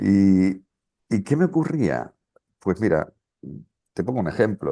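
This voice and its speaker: A man's fairly low, dark, mellow voice with a Canarian accent, fairly slow pace and very wide pitch swings, against a quiet background. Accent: Canarian Spanish, clear. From Canary Islands, Las Palmas de Gran Canaria. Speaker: regression therapist and author. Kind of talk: interview conversation.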